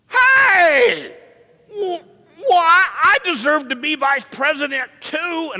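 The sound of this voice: A put-on character voice shouts in a whiny tone at an extremely high pitch. The whiny delivery moves at a very slow pace.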